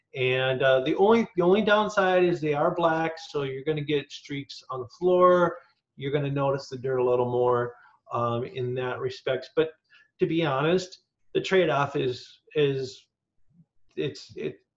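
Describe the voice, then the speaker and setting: A man with a fairly high, somewhat breathy voice talks at a fairly slow pace with ordinary pitch variation. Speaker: nonprofit staff, wheelchair user; presenter. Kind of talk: tutorial. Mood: friendly, practical. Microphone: video call.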